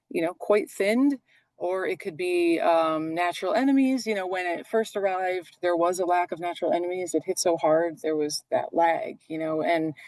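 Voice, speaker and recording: A woman with an unremarkable speaking voice talks at a moderate pace and fairly low pitch, with ordinary pitch variation, hardly any pauses and a quiet background. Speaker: forest manager. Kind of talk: webinar presentation.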